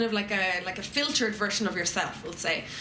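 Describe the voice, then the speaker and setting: In a room with audible echo and noticeable background noise, a woman speaks at a fairly high pitch. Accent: Irish. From Ireland. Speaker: YouTuber. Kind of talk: panel discussion.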